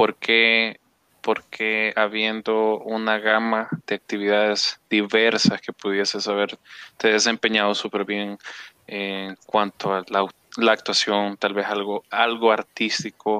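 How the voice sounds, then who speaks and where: A man speaks at a very slow pace in a fairly low, monotone voice with flat intonation and a bright, sharp tone, recorded with a dry, close sound and no echo. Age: 20s. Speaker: podcast host, operations manager. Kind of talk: casual interview. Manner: halting.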